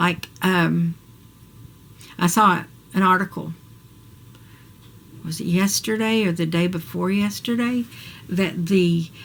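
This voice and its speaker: A woman with an American accent speaks very slowly in a somewhat breathy, medium-pitched voice. Her intonation is fairly even, and she leaves long, frequent pauses. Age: 60s. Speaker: vlogger. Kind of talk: personal video diary. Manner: casual, hesitant.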